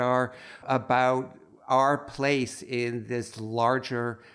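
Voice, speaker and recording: Over noticeable background noise, a man with an American accent speaks at a medium pitch with fairly even intonation. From US Northeast (Holyoke, western Massachusetts). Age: 70s. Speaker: photographer. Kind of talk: interview conversation. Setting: podcast interview. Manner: halting, with repeated words.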